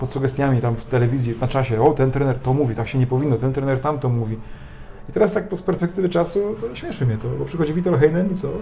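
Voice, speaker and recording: Very fast speech from a man at medium pitch with ordinary pitch variation, over noticeable background noise. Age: 30s. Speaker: volleyball coach. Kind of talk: casual interview. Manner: halting.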